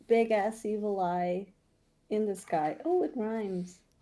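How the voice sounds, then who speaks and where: Speaking at a fairly slow pace, a woman with a non-native accent uses a fairly high pitch and a dark, mellow tone. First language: not English. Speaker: tabletop role-playing game player. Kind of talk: casual chat.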